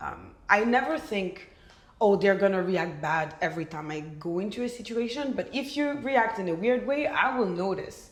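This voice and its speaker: At a moderate pace, a woman of medium pitch speaks with a Belgian French accent amid noticeable background noise and audible room echo. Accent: Belgian French accent when speaking French. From Belgium. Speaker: podcast guest. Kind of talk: casual chat.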